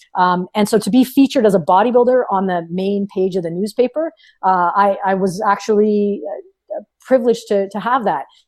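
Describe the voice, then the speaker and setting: Animated and fairly quick, a woman with a Canadian accent speaks at medium pitch with ordinary pitch variation. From Ontario, Canada (small town). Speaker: powerlifting coach and former bodybuilder. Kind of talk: podcast interview. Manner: animated, with many fillers and repetitions.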